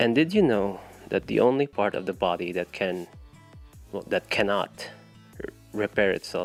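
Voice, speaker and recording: With music in the background, a man with a fairly low pitch and lively intonation speaks at a moderate pace, taking long, frequent pauses, in a dry, close sound with no echo. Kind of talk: casual talk to camera. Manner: stutter.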